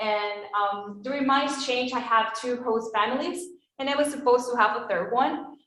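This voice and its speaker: A woman with a fairly high pitch and fairly even intonation talks at a moderate pace, with audible room echo around her. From Venezuela. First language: Spanish. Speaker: former exchange student. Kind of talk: testimony. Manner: casual, hesitant.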